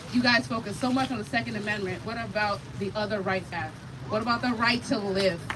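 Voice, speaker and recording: A woman with an American accent and lively intonation, with audible room echo and noticeable background noise. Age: 20s. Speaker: activist and gun violence survivor. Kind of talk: rally speech. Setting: outdoor rally on the National Mall. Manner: emotional.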